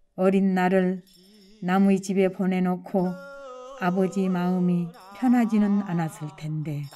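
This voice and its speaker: Music plays behind a woman speaking at a medium pitch. She goes very slowly, with fairly even intonation. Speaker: adult literacy learner. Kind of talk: personal essay reading.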